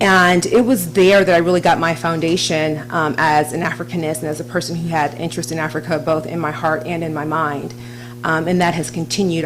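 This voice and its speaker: With an American accent, a woman speaks at a very deep, low pitch with ordinary pitch variation and hardly any pauses, over music in the background and audible room echo. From US, Washington DC. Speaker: diplomat. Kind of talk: speech. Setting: stage with audience.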